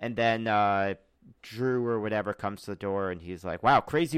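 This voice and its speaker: A man with an American accent, a normal speaking voice and medium pitch at a moderate pace, with a dry, close sound with no echo in a very clean recording with a silent background. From US South (Charlotte, North Carolina and Memphis, Tennessee). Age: 30s. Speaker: comedian and writer. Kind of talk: casual chat.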